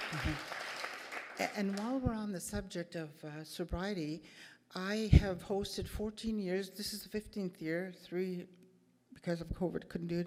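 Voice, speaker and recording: With fairly even intonation and a dark, mellow tone, the voice moves at a fairly slow pace. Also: woman. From Manitoba, Canada. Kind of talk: opening address. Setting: stage with audience.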